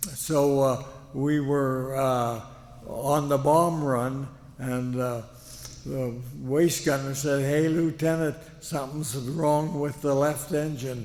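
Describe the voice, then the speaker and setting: Speaking at a very slow pace with fairly even intonation, a man with fairly high pitch is heard over noticeable background noise. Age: 80s+. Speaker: war veteran. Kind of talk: speech to an audience. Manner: halting, many fillers.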